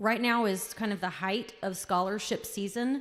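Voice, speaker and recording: On a very clean recording with a silent background, a woman is speaking. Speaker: school counselor. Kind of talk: school assembly announcements. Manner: loud.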